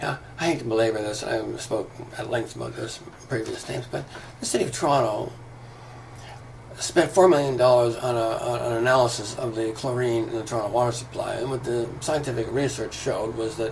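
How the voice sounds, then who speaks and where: This man talks at a fairly quick pace in a medium pitch. Noticeable background noise and audible room echo fill the recording. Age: 60s. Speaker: video commentator, former yoga teacher. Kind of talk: casual monologue rant. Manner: hesitant fillers; animated, heated.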